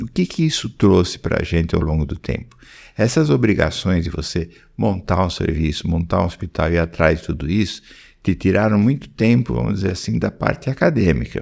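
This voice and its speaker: Very deep and low in pitch, a man's voice shows vocal fry and lively intonation at a moderate pace, on a very clean recording with a silent background. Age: 70s. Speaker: pediatric oncologist and professor. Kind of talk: podcast interview. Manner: halting, with frequent repetitions.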